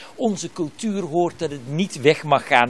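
The speaker talks at a fairly slow pace with lively intonation over light background noise. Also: man. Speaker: TV reporter. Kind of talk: live news report. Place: shop. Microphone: handheld.

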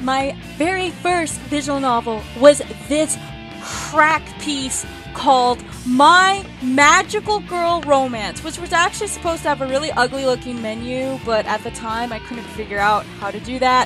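Over clear music in the background, a woman with a high pitch speaks at a fairly slow pace. Her intonation is lively and her loudness swings widely. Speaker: indie game developer and hobby voice actor. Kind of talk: casual let's play commentary. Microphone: headset.

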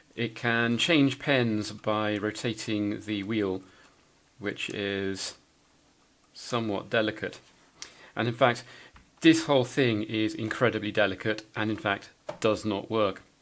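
A man speaks fairly slowly at a fairly low pitch with ordinary pitch variation. Long, frequent pauses break up his speech. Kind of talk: tutorial. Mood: wry, self-deprecating. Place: workshop.

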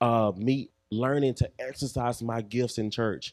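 Speaking fairly slowly with fairly even intonation, a man with an American accent has a medium pitch against a quiet background. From Texas (Waco); Texas. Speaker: mentoring speaker, former police officer; speaker. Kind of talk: church talk / testimony. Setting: church with audience. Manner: hesitant, many fillers. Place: church. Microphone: handheld.

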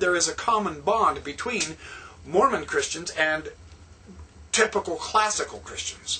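The man speaks at a fairly slow pace. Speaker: religious vlogger. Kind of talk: lecture-style vlog monologue. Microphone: webcam.

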